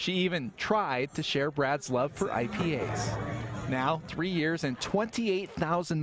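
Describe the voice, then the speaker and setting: A man speaks at a fairly high pitch with ordinary pitch variation. Noticeable background noise can be heard. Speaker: TV news reporter. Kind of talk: TV news report narration.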